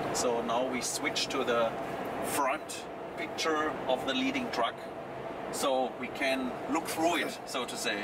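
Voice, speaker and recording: Over loud background noise, a man speaks very slowly with long, frequent pauses. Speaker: system demonstrator. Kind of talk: explanatory demo commentary. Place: car.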